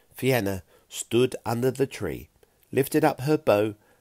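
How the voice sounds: The clip features a natural reading voice.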